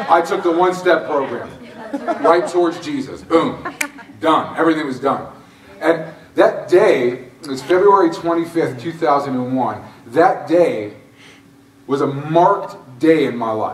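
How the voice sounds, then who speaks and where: A man talks at a fairly slow pace with long, frequent pauses, ordinary pitch variation and audible room echo. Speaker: guest. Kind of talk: testimony talk with humor. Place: church. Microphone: camera far.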